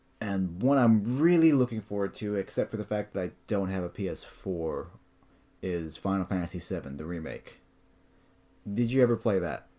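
Lively intonation runs through a man's dark, mellow voice, pitched fairly low and delivered at a moderate pace. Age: 20s. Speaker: fitness podcast co-host. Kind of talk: casual chat.

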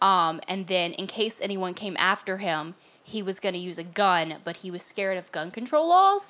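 Noticeable background noise sits under a woman with an American accent. Her pitch is medium with ordinary variation, and her loudness swings widely. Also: moderate pace. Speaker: podcast co-host. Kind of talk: casual chat.

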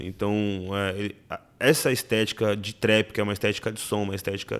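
A man's fairly low voice carries his words at a moderate pace. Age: 20s. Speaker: actor and music producer. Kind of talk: casual interview chat. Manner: halting, repeats words.

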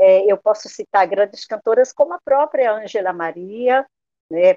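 A woman with a fairly high pitch and a dark, mellow tone speaks at a fairly slow pace with lively intonation. The sound is dry and close, with no echo. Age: 60s. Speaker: radio broadcaster. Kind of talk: interview.

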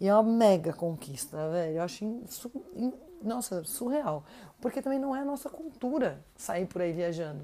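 Her tone animated, a woman talks at a medium pitch and moderate pace with very wide pitch swings. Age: 30s. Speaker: travel podcaster. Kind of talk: casual storytelling monologue.

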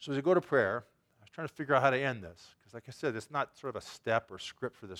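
Recorded dry and close with no echo, a man talks at a very fast pace with ordinary pitch variation. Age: 60s. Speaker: pastor. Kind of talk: sermon. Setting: church.

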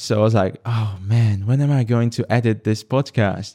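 In a Slovak accent, a man with a dark, mellow tone speaks at a moderate pace, dry and close with no echo, in a very clean recording with a silent background. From Slovakia. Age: 20s. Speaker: video editor. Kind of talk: casual interview chat. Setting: in-person recording in London.

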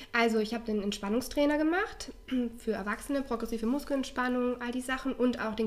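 A woman speaks in a fairly high pitch. Her pitch varies in an ordinary way. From Baden-Württemberg, near Stuttgart. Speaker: relaxation trainer. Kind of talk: casual chat. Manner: hesitant, many fillers.

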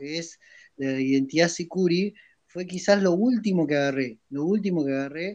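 Fairly high-pitched, a man speaks fairly slowly in an unremarkable speaking voice with ordinary pitch variation. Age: 30s. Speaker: podcast co-host. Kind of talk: casual discussion.

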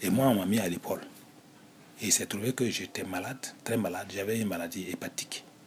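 A man's fairly low voice at a very fast pace, with long, frequent pauses, ordinary pitch variation and noticeable background noise. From Burkina Faso, Sourou province. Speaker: retiree interviewed about his life. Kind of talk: interview, life story. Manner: halting, many repetitions.

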